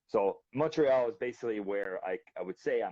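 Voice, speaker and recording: With a dry, close sound and no echo, a man speaks at a medium pitch with lively intonation. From Canada, Quebec and British Columbia. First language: French. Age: 30s. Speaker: balisong flipper. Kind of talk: casual interview chat. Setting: live video stream.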